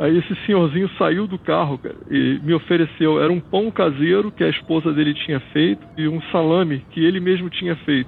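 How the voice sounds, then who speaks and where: At a moderate pace and with hardly any pauses, a man speaks with fairly high pitch and ordinary pitch variation. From Rio de Janeiro, Brazil. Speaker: retired bank worker, motorcycle traveler. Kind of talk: storytelling interview. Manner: casual, hesitant with fillers.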